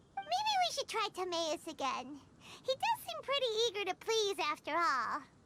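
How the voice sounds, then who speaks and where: A cartoonish character voice is pitched extremely high. The pace is moderate. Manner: excitable, talks about self in third person.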